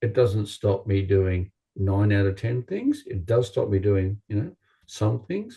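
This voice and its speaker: Speaking fairly slowly with an Australian accent, a man uses a fairly low, dark and mellow voice that is somewhat breathy, with fairly even intonation over a quiet background. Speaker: chiropractor. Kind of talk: interview.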